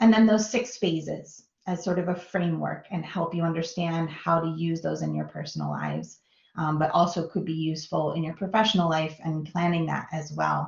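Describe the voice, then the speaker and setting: Speaking at a fairly quick pace with a Minnesota accent, a woman uses a fairly low pitch and fairly even intonation. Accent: American (Minnesota). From US Midwest, Minnesota. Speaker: design professional, guest lecturer. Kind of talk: lecture. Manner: casual, filler-heavy.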